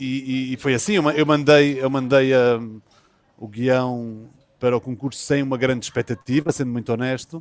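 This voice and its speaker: A man speaks at a moderate pace in a medium-pitched voice with fairly even intonation. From Azores, São Miguel. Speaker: film and TV director, series creator. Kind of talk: interview. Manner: halting, many fillers and repetitions.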